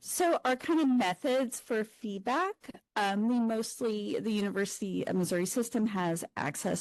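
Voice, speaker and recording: A soft-spoken woman talks at a fairly slow pace with lively intonation. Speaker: academic librarian. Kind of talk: conference presentation.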